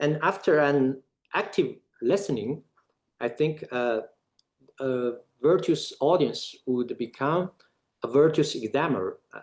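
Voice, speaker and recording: Here a man speaks with a non-native accent and long, frequent pauses. His pitch is fairly high, with ordinary variation. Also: fairly slow pace. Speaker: academic speaker. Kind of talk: lecture. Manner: halting, many filler uhs.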